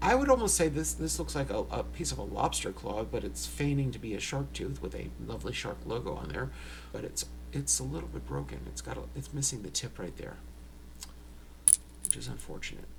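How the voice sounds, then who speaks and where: Over noticeable background noise and audible room echo, a man with an American accent speaks at a fairly quick pace in a very deep, low pitch with fairly even intonation. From New York. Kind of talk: casual unboxing tutorial.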